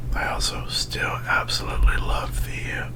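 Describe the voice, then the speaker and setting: Someone whispers very slowly over noticeable background noise. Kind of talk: casual whispered ramble over gameplay. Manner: whispered.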